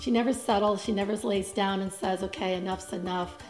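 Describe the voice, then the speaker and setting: A woman speaks as faint music plays in the background. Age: 50s. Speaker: psychologist. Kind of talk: interview answer. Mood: warm, reflective. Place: studio.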